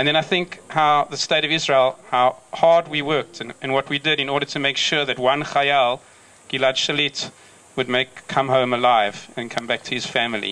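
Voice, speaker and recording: A man with a South African accent talks at a moderate pace. His pitch is fairly high with ordinary variation. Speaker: community organisation representative. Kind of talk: ceremonial speech. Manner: halting.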